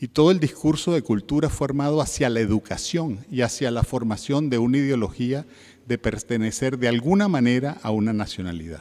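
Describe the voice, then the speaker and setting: A man's dark, mellow, medium-pitched voice in a Caribbean accent, fairly quick and lively in intonation. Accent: Caribbean Spanish, lasting. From Venezuela. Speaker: heritage and museum expert, panelist. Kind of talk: conference talk. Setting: conference panel with audience. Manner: formal, with filler 'eh' hesitations.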